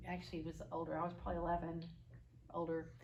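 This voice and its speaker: With an Oklahoma accent and vocal fry, this voice moves at a fairly quick pace amid audible room echo. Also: woman. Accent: Oklahoma accent, pronunciation gets corrected. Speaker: marriage course teacher. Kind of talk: lecture with role-play demonstration.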